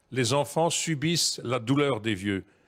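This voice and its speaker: On a very clean recording with a silent background, a man speaks at a very slow pace and medium pitch. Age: 70s. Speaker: pensioners' activist. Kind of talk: TV debate. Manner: halting, repeats words.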